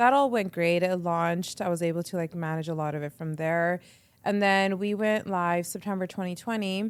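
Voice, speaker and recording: With a Canadian accent and an ordinary speaking voice, the speaker moves at a fairly quick pace with ordinary pitch variation. The recording is very clean, with a silent background. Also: woman, fairly low pitch for a woman. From Canada, Edmonton. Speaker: radio entrepreneur and presenter. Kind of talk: casual interview chat. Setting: podcast interview.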